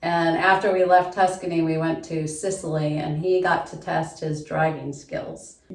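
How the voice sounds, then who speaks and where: The speaker keeps a monotone, flat intonation at a moderate pace over noticeable background noise. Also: woman, fairly low pitch for a woman. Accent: American. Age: 50s. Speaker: construction office worker. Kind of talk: audition video.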